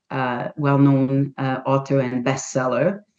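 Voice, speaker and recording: A woman's voice with a non-native accent. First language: not English. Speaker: holistic health practitioner and author. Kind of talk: interview. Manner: halting.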